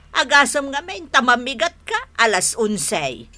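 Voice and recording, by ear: A woman uses a put-on character voice, high-pitched with a bright, sharp tone. Her pitch makes big swings. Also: fairly slow pace.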